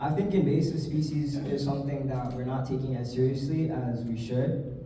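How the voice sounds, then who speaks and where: A man with a Hawaiian accent talks in a fairly high voice at a moderate pace with fairly even intonation, with audible room echo and noticeable background noise. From Hawaii, windward Oahu. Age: 20s. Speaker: political candidate. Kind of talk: campaign speech. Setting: candidate forum with audience.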